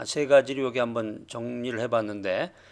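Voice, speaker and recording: A man speaks at a moderate pace with ordinary pitch variation, in a normal speaking voice. The recording is very clean, with a silent background. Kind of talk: lecture. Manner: measured, with filler pauses.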